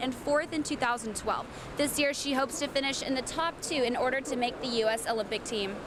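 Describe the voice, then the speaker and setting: Against noticeable background noise, a woman talks very fast at a high pitch with ordinary pitch variation. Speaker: sports reporter. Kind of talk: sports news report voiceover.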